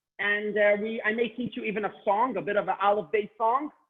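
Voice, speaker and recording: Loud and high-pitched, a man talks at a fairly quick pace. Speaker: Hebrew teacher. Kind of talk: online class. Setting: video call. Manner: loud and clear.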